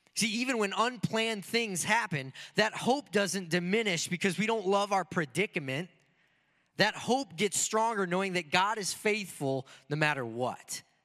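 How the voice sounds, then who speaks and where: In a very clean recording with a silent background, a man projects a raised voice with a bright, sharp tone at a high pitch, using lively intonation at a moderate pace. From Michigan. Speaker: pastor. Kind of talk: sermon. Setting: church.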